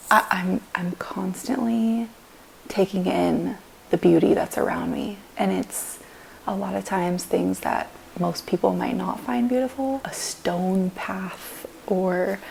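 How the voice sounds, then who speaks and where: A woman speaks quietly at a very slow pace over noticeable background noise. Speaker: vlogger and powerlifter. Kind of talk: casual vlog talk. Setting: at home on the couch.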